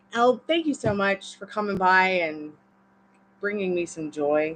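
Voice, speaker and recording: An American accent comes through in this woman's speech. She talks at a medium pitch. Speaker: tarot reader. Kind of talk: live-stream tarot reading. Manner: casual.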